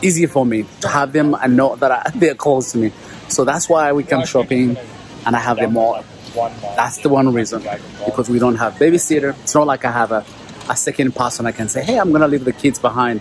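A man speaks at a fairly quick pace with ordinary pitch variation. The sound is dry with no echo, over light background noise. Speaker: dad vlogger. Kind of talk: casual vlog chat. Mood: cheerful, lightly amused. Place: shop. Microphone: phone near.

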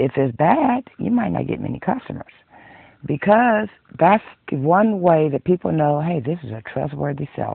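Her voice is very deep and low, at a moderate pace. The woman's sound is dry with no echo, over a quiet background. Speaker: hobby knitter vlogger. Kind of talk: casual vlog chat. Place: home room. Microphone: webcam.

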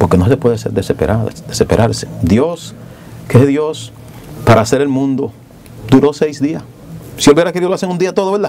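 Amid light background noise, a man at a fairly high pitch speaks at a moderate pace, swinging very widely in pitch and leaving long, frequent pauses. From Dominican Republic, rural. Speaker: politician, congressman; politician. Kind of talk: TV interview. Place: studio. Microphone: lapel.

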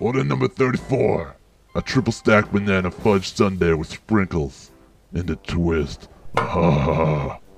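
Faint music plays in the background as a man does a cartoonish character voice at a very deep, low pitch and a fairly slow pace. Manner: deadpan.

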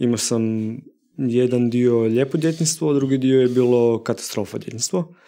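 A man's dark, mellow tone holds very even loudness, with ordinary pitch variation. The background is quiet. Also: moderate pace. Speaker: film director and artist; podcast guest. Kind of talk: casual chat. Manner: past stutter, overcome. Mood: calm, reflective. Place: studio. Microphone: studio mic.

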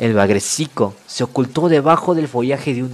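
The speaker is reading aloud. It is done in a natural voice.

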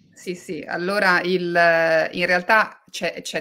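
The woman has a fairly low-pitched voice with a bright, sharp tone and monotone, flat intonation. Her recording is very clean, with a silent background. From Liguria and Tuscany, Italy. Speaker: novelist and journalist. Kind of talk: book talk interview.

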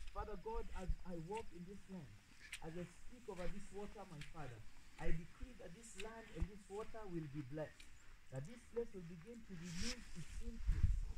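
Loud background noise sits behind a man speaking at a moderate pace. His pitch is high, with ordinary pitch variation. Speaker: pastor. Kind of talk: fervent outdoor prophetic prayer, decreeing and declaring over land and water. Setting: outdoors. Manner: rhythmic, impassioned declarations punctuated by repeated 'Yes' and 'Oh, yes'; intense and commanding, with rising exclamations. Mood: fervent, solemn. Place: waterside.

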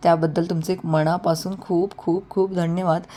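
This woman's voice is fairly low in pitch, with a dark, mellow tone. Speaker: online saree seller. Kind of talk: sales pitch.

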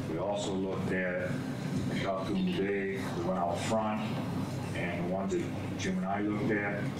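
Amid loud background noise and audible room echo, a man talks at a moderate pace with ordinary pitch variation. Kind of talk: meeting report. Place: meeting room. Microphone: camera far.

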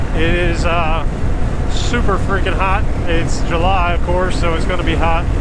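Dry sound with no echo carries speech at a moderate pace over loud background noise. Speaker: motorcycle vlogger. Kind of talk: casual vlog chat. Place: motorbike. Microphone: helmet.

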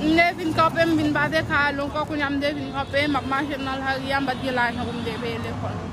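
A high-pitched woman speaks at a moderate pace with fairly even intonation and hardly any pauses, with audible room echo and crowd noise behind her. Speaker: struggling mother receiving charity. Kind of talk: interview testimony.

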